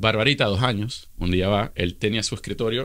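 A man with a fairly low pitch, in a Venezuelan accent. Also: quiet background. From Venezuela (Caracas). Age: 30s. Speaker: social media influencer. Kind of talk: casual interview. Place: studio. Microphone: studio mic.

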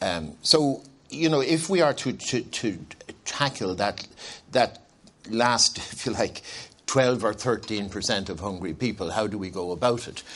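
A man with an Irish accent, fairly low in pitch, with lively intonation at a fairly slow pace. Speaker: former anti-hunger charity CEO. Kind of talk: panel discussion. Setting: conference stage with audience.

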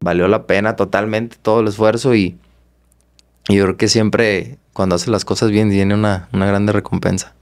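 A man speaks with a fairly low pitch. The background is quiet. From Guadalajara, Jalisco, Mexico. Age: 20s. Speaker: professional boxer; guest. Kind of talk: interview. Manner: halting, repeats words. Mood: calm, reflective. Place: studio. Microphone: studio mic.

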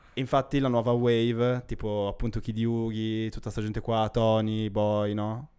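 Against a quiet background, a man speaks at a fairly slow pace. His intonation stays monotone and flat. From Milan, northern Italy. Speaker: podcast co-host. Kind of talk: casual chat. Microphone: handheld.

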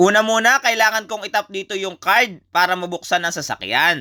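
A man with a high pitch and ordinary pitch variation projects a raised, bright and sharp voice, recorded dry and close with no echo over a very clean, silent background. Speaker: vlogger. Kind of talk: travel vlog narration.

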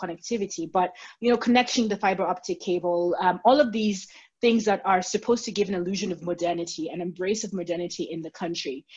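A woman's somewhat breathy voice at a very fast pace, with ordinary pitch variation. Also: quiet background. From Kenya. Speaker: writer and political analyst; political analyst. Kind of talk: interview. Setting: video call. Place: home room. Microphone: video call.

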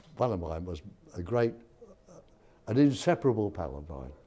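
A man's fairly low, dark, mellow voice with vocal fry, very wide pitch swings, big swings in loudness, a moderate pace and long, frequent pauses. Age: 90s. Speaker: war veteran. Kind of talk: interview testimony. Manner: halting. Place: hall. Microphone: lapel.

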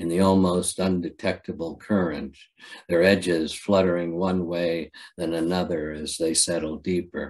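A man with an American accent speaks at a moderate pace in a very deep, low pitch. His intonation stays monotone and flat against a quiet background. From Ohio. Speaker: poet. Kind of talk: poetry reading. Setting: video call. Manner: halting. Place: home room. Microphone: webcam.

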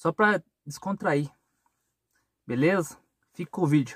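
Recorded dry with no echo against a quiet background, a man speaks at a fairly high pitch with ordinary pitch variation. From Brazil, rural countryside. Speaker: vlogger and truck driver; vlogger. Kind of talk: casual vlog talk to camera. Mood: defiant about criticism. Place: car. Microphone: phone near.

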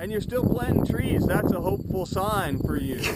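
A man speaks against noticeable background noise. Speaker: TV news reporter. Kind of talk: TV news feature narration.

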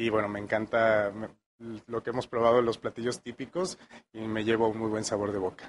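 Fairly even intonation marks this man's speech in a Mexican accent. He goes at a fairly quick pace over light background noise. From Mexico, Michoacán (Morelia); Michoacán, Mexico. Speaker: chef; interviewee. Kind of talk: interview. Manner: halting. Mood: warm, appreciative. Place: studio. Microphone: handheld.

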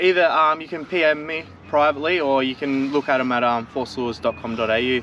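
A man at medium pitch, fairly bright in tone, with fairly even intonation, a fairly quick pace and faint background noise

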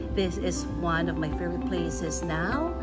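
A woman talks fairly slowly as music plays behind her. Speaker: travel vlogger. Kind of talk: casual vlog chat. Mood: enthusiastic, delighted. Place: cafe.

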